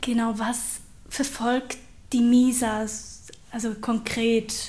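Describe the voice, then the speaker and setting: Over audible room echo, a woman speaks at a fairly high pitch with monotone, flat intonation. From Switzerland, Aargau. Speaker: podcast host. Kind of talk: interview.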